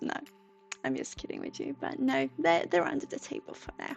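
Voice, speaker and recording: A speaker with a Swedish accent talks over music in the background. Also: woman. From Sweden. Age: 20s. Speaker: psychic livestreamer. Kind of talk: livestream chat. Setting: livestream from a room. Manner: halting.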